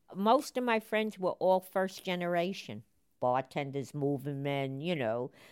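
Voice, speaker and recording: In a New York accent, a woman speaks at a fairly slow pace with lively intonation. The recording is very clean, with a silent background. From New York, the Bronx. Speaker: interviewee recalling city life. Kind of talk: interview reminiscence.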